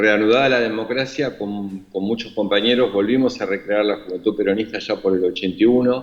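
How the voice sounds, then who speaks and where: Barely pausing, a man with a Rioplatense accent speaks at a fairly low pitch with fairly even intonation. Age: 60s. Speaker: imprisoned former government official. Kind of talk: interview. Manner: halting, many fillers.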